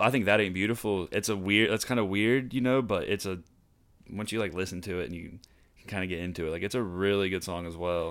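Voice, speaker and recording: Very fast and fairly even in intonation, a man with an American accent speaks at a fairly low pitch on a very clean recording with a silent background. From southeastern Ohio (Gallia). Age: 20s. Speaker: photographer and videographer. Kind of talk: casual chat.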